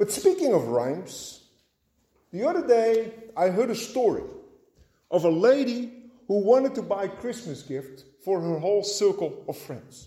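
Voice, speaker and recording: With a high pitch and very wide pitch swings, a man talks at a fairly slow pace. Long, frequent pauses break it up, and room echo is audible. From Netherlands. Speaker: pastor. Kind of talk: sermon.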